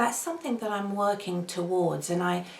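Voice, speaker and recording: Noticeable background noise sits under this woman's voice. Her pitch is medium, with ordinary pitch variation. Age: 50s. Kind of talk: casual talk to camera.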